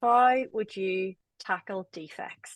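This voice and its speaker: A woman with an Irish accent speaks at a fairly high pitch, her voice dry and close with no echo against a quiet background. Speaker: webinar moderator. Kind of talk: webinar panel discussion.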